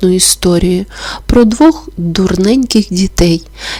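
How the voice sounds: What you hear is a natural reading voice with ordinary pitch variation.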